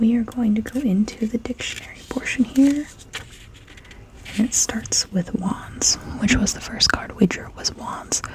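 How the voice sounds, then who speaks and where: Whispering at a moderate pace, a woman is heard with big swings in loudness over noticeable background noise. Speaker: ASMR tarot reader. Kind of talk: casual talk to camera, ASMR tarot reading. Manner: soft-spoken.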